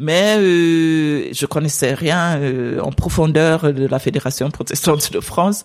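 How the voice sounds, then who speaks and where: A woman's very deep, low voice at a very slow pace, with fairly even intonation, amid noticeable background noise. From Sierra Leone. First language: English (speaking French). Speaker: pastor. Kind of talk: interview conversation. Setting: at her home.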